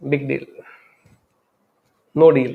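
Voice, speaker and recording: A man speaks with an Indian accent. His pitch is fairly high. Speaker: spiritual speaker. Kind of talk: talk on love and life. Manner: unscripted, reflective.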